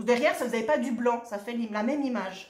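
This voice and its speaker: A woman speaks in a fairly high pitch with an animated tone. Her voice is somewhat breathy, and the room echo is audible. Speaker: shop owner presenting craft products. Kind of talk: product presentation video.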